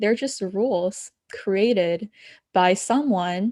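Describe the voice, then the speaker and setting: Speaking at a very slow pace, a woman uses a medium pitch and a dark, mellow tone with ordinary pitch variation. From abroad, moved to the US at ten. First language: not English. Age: young. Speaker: spiritual coach. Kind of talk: podcast interview.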